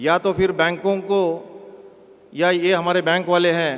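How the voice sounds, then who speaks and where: A man with a high pitch and fairly even intonation talks through noticeable background noise. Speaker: bank chief executive. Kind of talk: public speech. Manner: halting.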